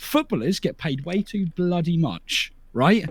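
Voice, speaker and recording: A man with a British accent talks in a high pitch. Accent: English (UK). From southern England, near Portsmouth. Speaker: streamer. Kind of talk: casual interview chat. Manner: animated, stammering restarts.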